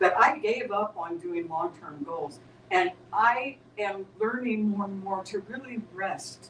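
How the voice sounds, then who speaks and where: Amid noticeable background noise, a woman talks at medium pitch with lively intonation. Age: 70s. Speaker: spiritual teacher. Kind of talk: spiritual group discussion. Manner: halting, with many repeated words.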